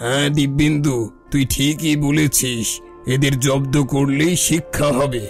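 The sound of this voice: A man's cartoonish character voice, fairly high in pitch and fairly slow, with clear music in the background.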